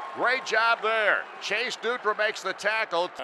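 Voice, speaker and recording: Noticeable background noise surrounds a man speaking. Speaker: radio play-by-play announcer. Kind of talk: live football play-by-play commentary, call of each snap.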